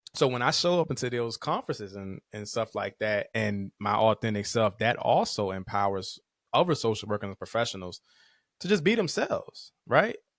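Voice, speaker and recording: In a very clean recording with a silent background and a dry, close sound with no echo, a man speaks at a medium pitch with lively intonation. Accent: slight country. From Virginia, Caroline County. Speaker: social work professor and clinician. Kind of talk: podcast interview. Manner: fast; slightly slurred words.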